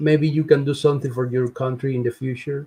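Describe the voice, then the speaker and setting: Somewhat breathy, a man delivers his words with monotone, flat intonation. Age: 60s. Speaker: Cuban exile guest. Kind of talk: casual chat. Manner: halting.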